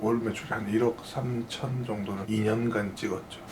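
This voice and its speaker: Noticeable background noise and audible room echo fill the recording. A man speaks at medium pitch and a moderate pace. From Gyeongsang region, South Korea (Busan area). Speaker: restaurant franchise owner. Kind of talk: interview.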